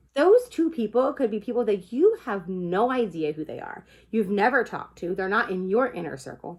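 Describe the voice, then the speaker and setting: A woman speaks at a moderate pace. Her fairly high pitch moves in very wide swings. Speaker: direct sales consultant. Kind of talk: informal talk to camera. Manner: casual.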